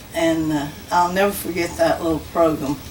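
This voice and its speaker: The room echo is audible. There is noticeable background noise. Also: woman. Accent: Southern US. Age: 80s+. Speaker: church member. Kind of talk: testimony. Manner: halting.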